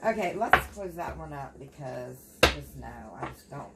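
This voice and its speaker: A woman speaks with an American accent at a moderate pace. Noticeable background noise runs under her voice. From Appalachia, United States. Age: 40s. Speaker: tarot reader. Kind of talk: tarot reading talk to camera. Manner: casual, chatty.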